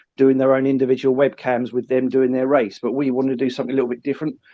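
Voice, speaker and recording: A man's medium-pitched voice with a southern English accent. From south coast of England. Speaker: live streamer. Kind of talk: podcast interview. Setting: phone call.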